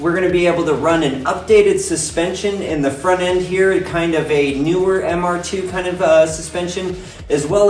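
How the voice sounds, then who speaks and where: A high-pitched male voice with audible room echo and light background noise. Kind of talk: casual build vlog explanation. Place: garage. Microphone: phone near.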